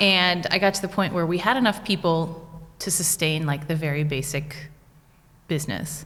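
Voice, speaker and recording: A woman speaks in an American accent with a plain, everyday voice. Her pitch is fairly low, her pace moderate, and her pitch variation ordinary. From United States. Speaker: small business owner. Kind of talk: podcast interview. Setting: studio.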